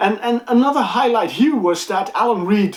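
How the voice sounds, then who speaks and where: A woman with a non-native accent swings very widely in pitch over noticeable background noise. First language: not English. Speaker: music reviewer and channel host. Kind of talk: casual vlog. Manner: halting, many fillers and repeats.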